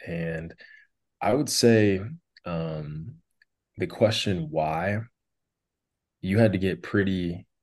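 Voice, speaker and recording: Over a quiet background, a man with an Upper Midwest accent speaks at a very slow pace in a very deep, low voice with ordinary pitch variation. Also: long, frequent pauses, big swings in loudness. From North Dakota, south central. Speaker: motivational speaker. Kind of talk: interview, personal testimony.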